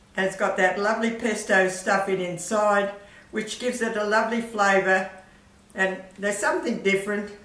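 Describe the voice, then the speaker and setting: A woman talks at a moderate pace, her intonation fairly even, with audible room echo in the recording. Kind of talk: tutorial. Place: kitchen.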